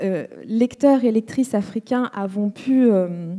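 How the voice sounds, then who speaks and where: Speaking very slowly in a Rwandan accent, a woman uses a fairly high pitch with ordinary variation. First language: Kinyarwanda (speaking French). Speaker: writer on a literary panel. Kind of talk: panel discussion. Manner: halting, many hesitations and repetitions.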